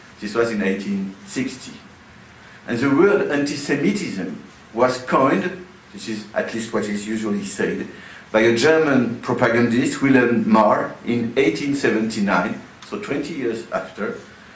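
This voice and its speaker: Over noticeable background noise and audible room echo, a man with a French accent talks at a moderate pace and medium pitch with lively intonation. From France. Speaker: sociology professor. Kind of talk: lecture. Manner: hesitant, with many uh fillers.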